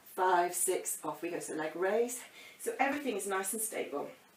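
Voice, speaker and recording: A woman's medium-pitched voice at a moderate pace with lively intonation, audible room echo and noticeable background noise. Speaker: fitness instructor. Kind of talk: workout instruction. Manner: energetic, counting rhythmically.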